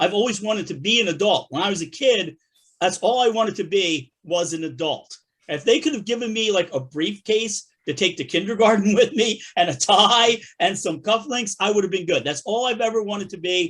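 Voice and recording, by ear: This man has a high pitch and a fairly bright tone. His intonation is lively at a moderate pace.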